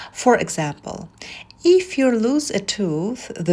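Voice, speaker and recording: A woman with a non-native accent speaks very slowly in a somewhat breathy voice with lively intonation. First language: not English. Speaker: massage therapist. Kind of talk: tutorial.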